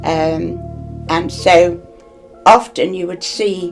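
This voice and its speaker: The voice belongs to a woman. Behind her, music is playing. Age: 80s+. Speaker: war veteran. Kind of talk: interview answer.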